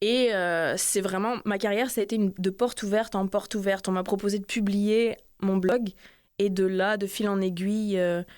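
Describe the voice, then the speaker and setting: A woman speaks in a flat monotone at medium pitch, on a very clean recording with a silent background. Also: moderate pace. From northern France, Lille. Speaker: author. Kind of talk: interview. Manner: halting, many repetitions; casual.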